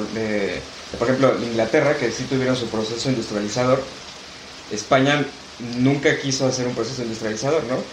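A man talks fairly quickly while room echo is audible and background noise is noticeable. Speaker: history teacher. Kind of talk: casual chat.

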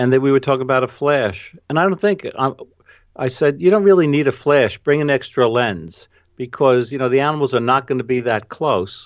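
With a New York accent, a man talks at a moderate pace and medium pitch. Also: lively intonation, quiet background. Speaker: travel photographer and educator. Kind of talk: interview.

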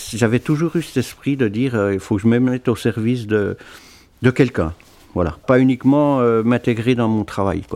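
A man's dark, mellow tone at a moderate pace with ordinary pitch variation. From eastern France, Doubs. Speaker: charity volunteer. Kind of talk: casual interview.

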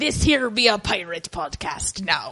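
A female-sounding put-on character voice, medium in pitch for a woman, at a moderate pace. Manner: playful.

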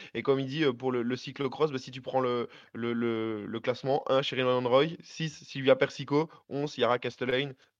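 In a plain, everyday voice, a man speaks at a fairly slow pace with fairly even intonation. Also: medium pitch for a man. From Belgium. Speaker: cycling fan panelist. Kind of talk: casual chat.

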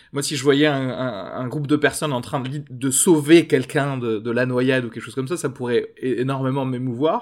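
A man at medium pitch and moderate pace with fairly even intonation, on a very clean recording with a silent background. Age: 30s. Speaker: podcast producer. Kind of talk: casual chat. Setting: café terrace.

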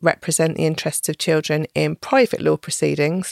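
A woman with an English Midlands accent is heard in a dry, close recording with no echo. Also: very clean recording, silent background. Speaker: family court social work manager. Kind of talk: educational interview. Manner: clear, measured explainer.

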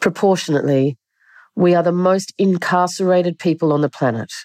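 A woman with an Australian accent speaks at a fairly quick pace in a dark, mellow tone. The sound is dry and close, with no echo. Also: very clean recording, silent background. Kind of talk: reading aloud.

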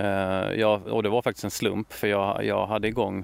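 This is a man speaking. His pitch is fairly low. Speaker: author and true-crime YouTuber. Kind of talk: interview. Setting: outdoors. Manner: halting.

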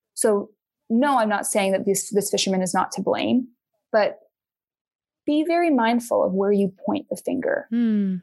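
A somewhat breathy woman with a fairly high pitch uses lively intonation, broken up by long, frequent pauses. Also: moderate pace, very even loudness. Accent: American. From Utah. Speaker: environmental advocate. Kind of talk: casual chat.

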